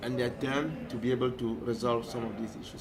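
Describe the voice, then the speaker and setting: Here a man speaks at a medium pitch. The audio carries audible room echo and noticeable background noise. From Cameroon. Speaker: peace organization director. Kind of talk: interview. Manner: fast; halting.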